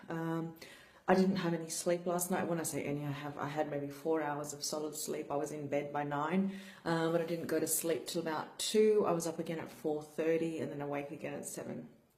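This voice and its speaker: A woman's very deep, low voice in monotone, flat intonation at a fairly quick pace, with audible room echo and noticeable background noise. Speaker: brain injury survivor vlogger. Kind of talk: personal vlog talk. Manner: slurred speech; flat, low energy.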